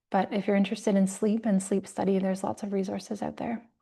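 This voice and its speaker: Against a quiet background, a woman speaks at a fairly quick pace in a dark, mellow, somewhat breathy tone with monotone, flat intonation. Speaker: yoga teacher. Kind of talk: lecture.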